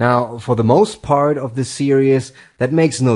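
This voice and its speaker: The speaker is a man with a non-native accent. His intonation stays fairly even. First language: not English. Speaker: tutorial host, software developer. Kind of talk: tutorial.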